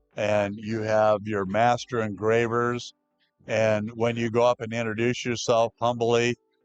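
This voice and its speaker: A man's medium-pitched voice moves at a fairly slow pace in a flat monotone, with a dry, close sound free of echo and music playing behind him. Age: 60s. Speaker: veteran tattoo artist. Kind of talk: casual chat. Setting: tattoo convention.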